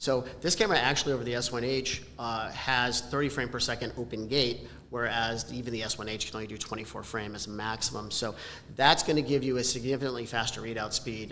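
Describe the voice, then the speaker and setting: A very fast man's voice with fairly even intonation, audible room echo and noticeable background noise. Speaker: camera company product specialist. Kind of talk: live stream product presentation. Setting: live event in person.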